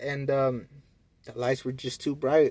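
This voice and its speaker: Fairly slow and monotone, a man talks at a fairly high pitch with a dark, mellow tone. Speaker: vlogger. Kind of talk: casual monologue. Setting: parking lot. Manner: stuttering; casual slangy.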